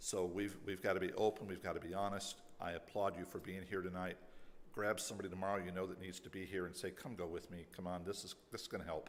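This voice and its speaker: Rushing at a very fast pace, a man speaks in a very deep, low pitch with monotone, flat intonation and audible room echo. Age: 60s. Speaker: pastor. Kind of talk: closing remarks to congregation.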